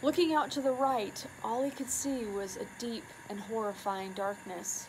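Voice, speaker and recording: A woman with an American accent talks at a high pitch. Her pitch variation is ordinary, and there is noticeable background noise. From US Pacific Northwest. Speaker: community leader. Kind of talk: reading aloud. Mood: hushed spooky storytelling. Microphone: phone near.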